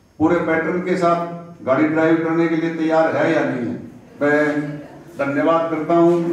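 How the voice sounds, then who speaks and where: Amid light background noise and strong room echo, a man speaks fairly slowly in a monotone, flat intonation. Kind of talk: public speech. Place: hall.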